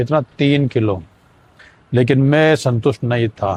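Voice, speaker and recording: With a medium pitch and ordinary pitch variation, a man is talking. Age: 60s. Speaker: vlogger sharing weight loss journey. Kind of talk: casual vlog monologue.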